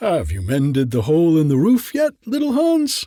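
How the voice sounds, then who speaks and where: A man does a put-on character voice. It sits fairly high in pitch and moves at a moderate pace. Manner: cheery.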